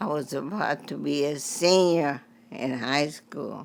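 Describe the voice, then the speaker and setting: Very slowly, a woman speaks in a very deep, low voice. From Texas. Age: 90s. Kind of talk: interview answer.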